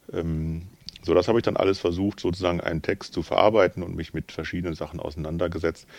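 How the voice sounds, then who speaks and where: The delivery is very fast and flat, in a monotone. The background is quiet. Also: man, very deep, low pitch for a man. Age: 50s. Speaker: pastor and theologian. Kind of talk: casual chat.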